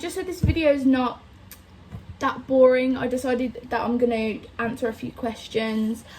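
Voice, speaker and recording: Her high pitch shows ordinary variation as the woman speaks with a Birmingham accent. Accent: Birmingham (Brummie) English. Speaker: vlogger. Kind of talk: casual chat.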